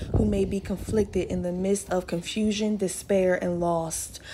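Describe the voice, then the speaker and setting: Noticeable background noise sits behind a woman's voice. She speaks with a warm tone at a fairly slow pace and fairly even intonation. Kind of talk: fervent intercessory prayer, addressing God directly. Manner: earnest, pleading and impassioned in prayer; warm, conversational and encouraging in the intro.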